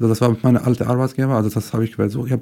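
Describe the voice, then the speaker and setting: Recorded very cleanly against a silent background, a man with a Syrian accent talks in a dark, mellow, medium-pitched voice with monotone, flat intonation. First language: Arabic (speaking German). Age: 20s. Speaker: podcast guest. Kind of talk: personal testimony. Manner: halting, searching for words.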